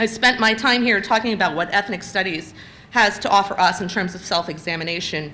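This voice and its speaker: A woman talks very fast at medium pitch, her bright, sharp tone carrying lively intonation through audible room echo. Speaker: invited lecturer, children's literature scholar. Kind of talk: lecture.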